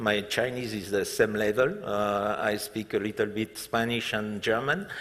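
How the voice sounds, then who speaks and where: Speaking with a French accent, a man has a fairly low pitch. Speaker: hotel group executive. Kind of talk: stage interview. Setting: conference stage with audience. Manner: halting, many fillers.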